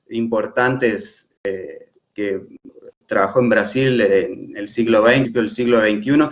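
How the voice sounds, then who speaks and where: A man speaks at medium pitch with a slight Argentine accent. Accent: slightly Argentine Spanish. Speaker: architect and professor. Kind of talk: lecture. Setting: live stream. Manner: halting, many fillers.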